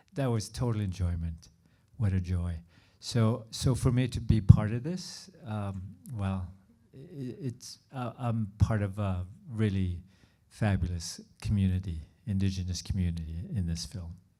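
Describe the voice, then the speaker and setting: A man speaks at a fairly slow pace in a fairly low pitch, his voice somewhat breathy with a dark, mellow tone. His pitch varies in an ordinary way. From northern Manitoba, Canada. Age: 60s. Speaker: actor. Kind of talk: post-screening Q&A interview. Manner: halting, with restarts.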